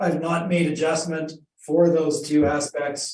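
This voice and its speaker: A man does a raspy put-on character voice, fairly high in pitch. He talks at a fairly slow pace with monotone, flat intonation. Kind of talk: professional presentation.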